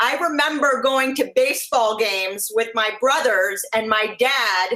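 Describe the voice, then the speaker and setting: A woman speaks in a raised, projected voice, high in pitch, with a bright, sharp tone. Her intonation is lively. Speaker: interviewer. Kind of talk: interview questions.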